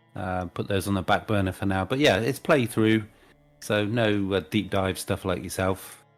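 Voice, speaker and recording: With music in the background, a man talks at a moderate pace in a fairly low pitch and ordinary pitch variation. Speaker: YouTube gaming content creator. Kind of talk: casual podcast chat.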